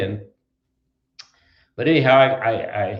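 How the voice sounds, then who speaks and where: A man with an Upper Midwest US accent. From southwestern Wisconsin. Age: 80s+. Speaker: trucking company founder. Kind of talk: interview. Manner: halting, many fillers.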